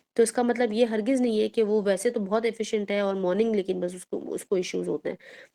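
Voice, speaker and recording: Fairly high in pitch, a woman speaks in a dark, mellow tone with fairly even intonation. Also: hardly any pauses. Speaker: Islamic teacher. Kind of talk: religious lecture. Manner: stern, firm tone; plain, even tone.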